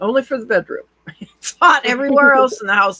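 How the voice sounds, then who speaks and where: A woman with an American accent speaks in a raised, projected voice at a high pitch and a fairly quick pace, with a dry, close sound and no echo. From US Pacific Northwest. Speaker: voice actor, audiobook narrator. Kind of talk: interview answer.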